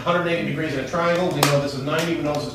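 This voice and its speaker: Noticeable noise fills the background. A man talks through it. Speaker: math teacher. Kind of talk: classroom math lesson.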